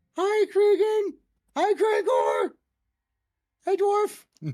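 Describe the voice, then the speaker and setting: This man uses a put-on character voice that is squeaky and extremely high in pitch. He speaks very slowly. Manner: cheerful greeting.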